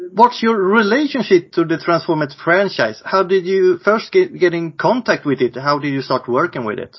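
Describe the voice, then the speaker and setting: A man with a Swedish accent speaks in a high voice. His pitch swings very widely. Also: moderate pace. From Sweden. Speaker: podcast host. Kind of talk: interview.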